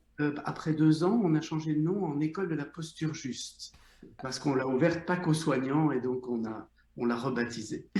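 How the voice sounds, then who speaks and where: Speaking at a moderate speed, a man with a rather high pitch is heard over distinct background noise. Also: ordinary pitch variation. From Belgium, Brussels. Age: 60s. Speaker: psychotherapist, former surgeon. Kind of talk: interview.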